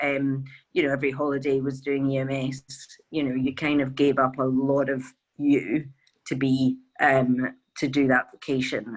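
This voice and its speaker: A woman with a very deep, low voice speaks in a flat monotone with a Glaswegian accent. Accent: Glaswegian Scottish. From Scotland, Glasgow. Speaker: veterinarian, charity co-founder. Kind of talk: interview.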